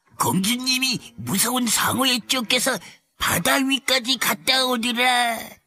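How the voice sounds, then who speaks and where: A put-on character voice at a fairly slow pace. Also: man, extremely high pitch for a man. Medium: read story. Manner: excited.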